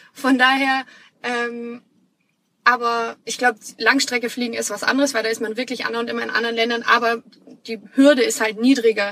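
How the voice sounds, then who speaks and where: The speech moves at a fairly quick pace with flat, monotone intonation. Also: woman. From Bavaria, Munich. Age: 30s. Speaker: flight attendant and aspiring digital nomad. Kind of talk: casual interview chat.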